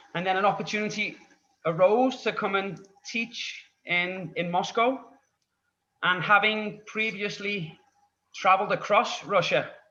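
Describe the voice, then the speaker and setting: In a Scouse accent, a man speaks with a raised, projected voice at a high pitch and fairly even intonation. His pace is fairly slow, broken by long, frequent pauses. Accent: Scouse (Liverpool) English. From Liverpool, England. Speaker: English tutor. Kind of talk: podcast interview.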